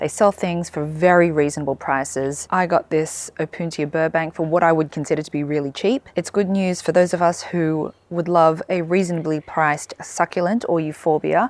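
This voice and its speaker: In an Australian accent, a woman with a fairly low pitch speaks at a moderate pace with hardly any pauses, on a very clean recording with a silent background. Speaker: gardening vlogger. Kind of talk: casual garden vlog.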